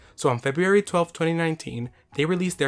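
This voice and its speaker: Music in the background behind a man speaking with ordinary pitch variation. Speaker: YouTube commentator. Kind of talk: video essay commentary.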